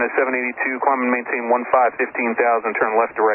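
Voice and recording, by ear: The pitch barely moves. The pace is fast. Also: man, medium pitch for a man.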